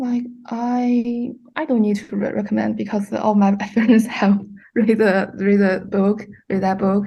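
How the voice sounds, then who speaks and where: A woman with a Chinese accent speaks in a dark, mellow, somewhat breathy voice. Her pace is fairly slow and her intonation fairly even, over a quiet background. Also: medium pitch for a woman. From China. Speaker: student. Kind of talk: casual book club discussion. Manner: halting.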